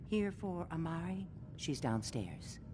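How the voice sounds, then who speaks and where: Over loud background noise, a woman in a put-on character voice speaks at a fairly slow pace with a very deep, low pitch. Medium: video game.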